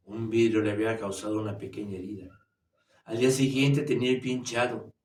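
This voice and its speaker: A somewhat breathy male voice at a moderate pace, fairly even in intonation, with audible room echo. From Mexico City, Mexico. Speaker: storyteller. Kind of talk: reading aloud. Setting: virtual writers' fair.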